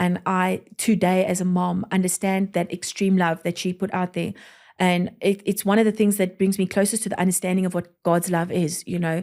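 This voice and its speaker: A woman's medium-pitched voice at a moderate pace, monotone, flat intonation, on a very clean recording with a silent background. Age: 30s. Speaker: pastor. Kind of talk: testimony. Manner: rambling, self-correcting.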